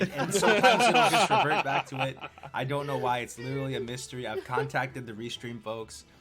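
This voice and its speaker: Music plays in the background as a man speaks at a very fast pace with lively intonation. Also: medium pitch for a man. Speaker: gaming podcast host. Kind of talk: casual chat. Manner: loud.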